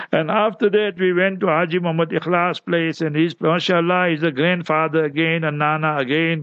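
Noticeable background noise behind a man's fairly high voice, fairly even in intonation, at a moderate pace. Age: 60s. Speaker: Islamic radio presenter and scholar. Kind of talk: radio talk / report back. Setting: radio studio.

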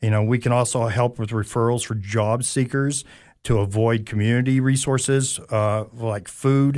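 Against a quiet background, a man with a medium pitch speaks at a moderate pace with fairly even intonation. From East Tennessee, Anderson County. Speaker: career coach. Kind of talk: radio interview. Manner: hesitant, many fillers.

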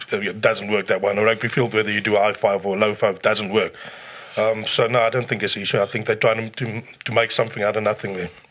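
The delivery is monotone, with flat intonation, at a very fast pace. Noticeable background noise runs underneath. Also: man, fairly low pitch for a man. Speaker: rugby pundit, regular co-host. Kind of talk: casual sports chat.

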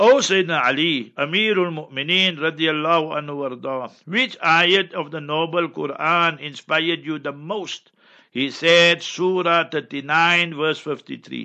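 Fairly high-pitched for a man, he has a plain, everyday voice with ordinary pitch variation. He keeps a moderate pace and hardly pauses at all. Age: 60s. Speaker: Islamic scholar. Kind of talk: religious advice.

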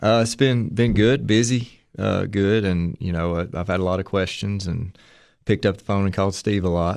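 With an East Tennessee accent, a man talks at a moderate pace and fairly low pitch with ordinary pitch variation over a quiet background. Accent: Southern US (East Tennessee). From US South, Tennessee (Madisonville). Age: 30s. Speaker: high school athletic director and former baseball coach. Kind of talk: casual interview.

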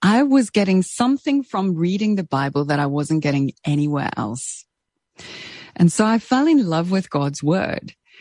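A woman's dark, mellow, fairly low voice with a South African accent, very wide pitch swings, a moderate pace and a dry, close sound with no echo. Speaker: radio presenter and author. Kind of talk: interview.

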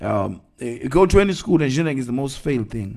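With lively intonation and a medium pitch, a man speaks in a space with audible room echo. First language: Zulu. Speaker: evangelist. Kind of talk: sermon. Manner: halting.

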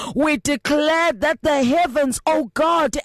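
The speaker talks at a very slow pace in a South African accent. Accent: South African, Xhosa-accented English. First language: Xhosa. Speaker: prayer leader. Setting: radio broadcast. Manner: fervent, pleading; emphatic, rhythmic, repetitive cadence.

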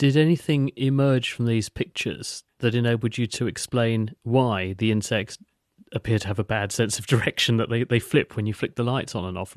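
A man with a British accent speaks at a fairly quick pace in a medium pitch. The sound is dry and close with no echo, over a quiet background. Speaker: radio host. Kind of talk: scripted studio presenting and interviewing. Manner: clear, polished, formal.

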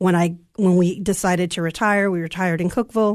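A woman talks at a fairly quick pace and medium pitch. The background is quiet. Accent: American. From Southern California, Santa Ana. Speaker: school interpreter and army veteran. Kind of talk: interview. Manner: hesitant, many ums.

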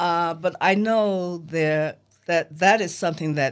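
In a very clean recording with a silent background, a woman speaks with an American accent and ordinary pitch variation. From US, New York (Harlem). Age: 80s+. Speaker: memoir author, former Playboy bunny. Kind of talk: interview. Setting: studio.

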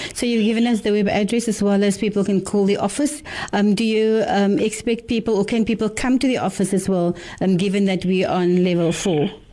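Her loudness very even and her pitch variation ordinary, a woman talks over noticeable background noise. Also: medium pitch for a woman. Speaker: radio host. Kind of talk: radio interview.

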